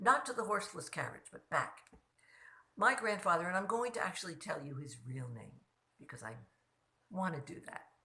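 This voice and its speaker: A woman's bright, sharp voice with vocal fry, very wide pitch swings and a moderate pace. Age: 80s+. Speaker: storytelling vlogger. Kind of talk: casual storytelling monologue. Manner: conversational.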